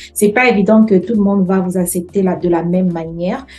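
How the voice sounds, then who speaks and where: A woman with a medium pitch talks at a moderate pace against noticeable background noise. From French-speaking country. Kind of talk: casual interview chat.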